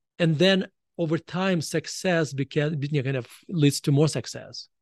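Over a quiet background, a man with a Russian accent speaks at a fairly high pitch with fairly even intonation and a dry, close sound with no echo. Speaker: author. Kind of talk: interview. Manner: halting.

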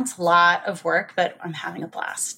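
A woman's fairly low, bright, sharp voice with an American accent on a very clean recording with a silent background. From New Jersey. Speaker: recruiting executive. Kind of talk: casual interview.

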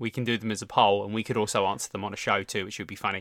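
Very fast male speech at a fairly low pitch, bright and sharp in tone, fairly even intonation, on a very clean recording with a silent background. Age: 30s. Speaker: fitness podcast co-host. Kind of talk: casual chat.

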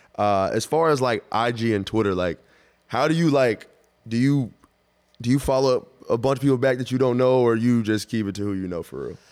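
With an American accent, a man speaks in an ordinary speaking voice at medium pitch, fairly quick pace and ordinary pitch variation. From Dallas, Texas. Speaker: basketball player and podcast host. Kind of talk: casual interview chat. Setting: in Philadelphia.

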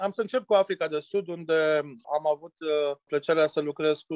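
With a normal speaking voice, a man talks at a moderate pace and a fairly high pitch, the sound dry and close with no echo. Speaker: winemaker. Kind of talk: interview. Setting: remote call.

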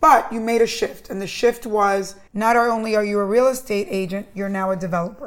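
A woman with a normal speaking voice talks at a fairly quick pace, with hardly any pauses. Her pitch is fairly high and varies in an ordinary way. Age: 50s. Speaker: podcast host. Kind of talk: interview.

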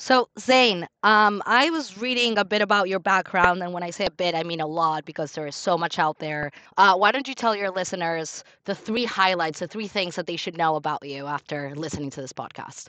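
Using an unremarkable speaking voice, a woman talks at a fairly quick pace and a fairly low pitch with lively intonation, in a dry, close sound with no echo. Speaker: podcast co-host.

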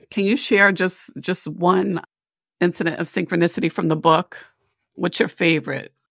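Here is a woman with an ordinary speaking voice, fairly low in pitch and with ordinary pitch variation. She keeps a moderate pace, and the sound is dry and close with no echo. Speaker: podcast host, psychologist. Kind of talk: interview, casual chat.

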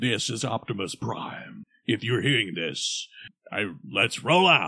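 The pace is fairly slow. A man uses a put-on character voice. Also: medium pitch for a man. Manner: commanding, heroic.

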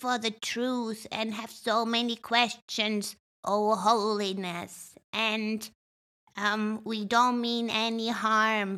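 A female-sounding voice puts on a character voice at a fairly high pitch. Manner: odd, reverent, put-on.

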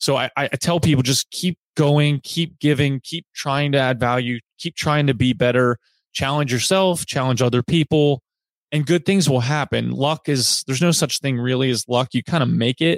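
A man with an American accent has an unremarkable speaking voice, fairly high pitch and fairly even intonation. The recording sounds dry and close with no echo. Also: moderate pace. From US South, Virginia (Roanoke). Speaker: company managing director. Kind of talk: interview.

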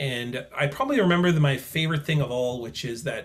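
A man in a Canadian accent sounds somewhat breathy, with ordinary pitch variation. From Manitoba, Canada (Selkirk). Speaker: author and professor. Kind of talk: interview conversation.

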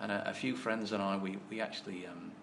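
A man talks at a fairly quick pace with fairly even intonation. Noticeable background noise and audible room echo are present. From English mining town. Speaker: sports governing body chairman, former professional snooker player. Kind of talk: interview. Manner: halting, repeats words.

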